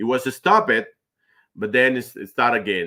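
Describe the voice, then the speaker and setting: The recording is very clean with a silent background, carrying a man's bright, sharp tone in a Spanish accent. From Argentina. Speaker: finance manager. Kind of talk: interview. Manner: halting, with pauses.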